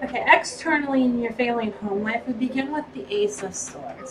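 Light background noise sits behind a woman's voice. She has a high pitch and speaks at a moderate pace. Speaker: tarot reader. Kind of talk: tarot reading monologue.

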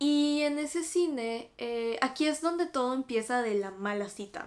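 A woman with a Mexican accent talks at a high pitch in an animated tone with lively intonation. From Mexico. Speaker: YouTuber. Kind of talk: casual chat. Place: home room.

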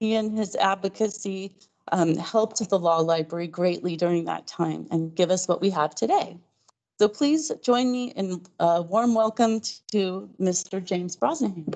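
A woman at a moderate pace, ordinary pitch variation, quiet background. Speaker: library host. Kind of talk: event introduction. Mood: warm, welcoming. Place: hall.

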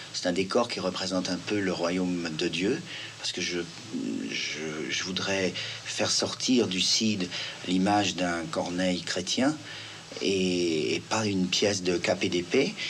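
A man's very deep, low voice at a very slow pace, with ordinary pitch variation, long, frequent pauses and music in the background. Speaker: stage actor and director. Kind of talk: television interview answer. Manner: thoughtful, explanatory, conversational. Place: home room.

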